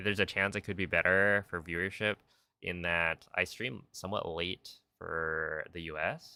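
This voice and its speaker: A man speaks with an American accent at a very deep, low pitch. His intonation stays fairly even. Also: moderate pace. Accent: thick Californian accent (joking). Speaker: speedrun streamer. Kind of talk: casual live stream chat while gaming.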